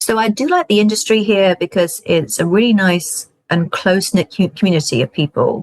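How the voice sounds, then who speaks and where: Delivered in a British accent at a fairly quick pace, the speech has hardly any pauses and very even loudness, with a dry, close sound and no echo. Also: woman, medium pitch for a woman. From UK. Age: 40s. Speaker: film festival consultant. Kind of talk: interview conversation.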